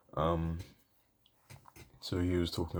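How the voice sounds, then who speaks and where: A soft-spoken man with a British accent, talking at a very slow pace. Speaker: cosplay vlogger. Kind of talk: casual vlog monologue. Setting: home, late at night. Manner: soft-spoken, quiet; hesitant, many fillers.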